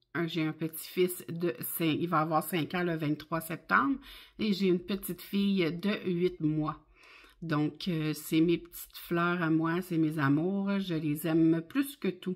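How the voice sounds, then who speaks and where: Very slow speech from a woman with a fairly low pitch. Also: fairly even intonation, very clean recording, silent background. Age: 50s. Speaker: budgeting vlogger. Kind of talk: casual vlog monologue. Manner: hesitant, many fillers.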